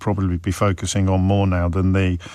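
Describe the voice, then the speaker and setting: A man speaks with a fairly low pitch. Noticeable background noise is present. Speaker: radio talk show host. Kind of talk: radio phone-in talk. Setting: studio.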